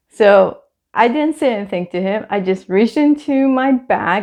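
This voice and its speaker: A woman speaks with a Hungarian accent. Her pace is moderate. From Hungary. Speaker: travel vlogger. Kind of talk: casual reaction video commentary. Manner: halting, many fillers.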